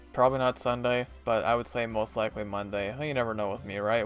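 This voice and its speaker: Music plays in the background as a man speaks. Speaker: gaming streamer. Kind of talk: live stream sign-off. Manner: fast.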